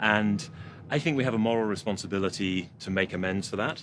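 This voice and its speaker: A man with a British accent talks at a fairly quick pace with a fairly low pitch. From UK. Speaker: port authority executive. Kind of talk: interview.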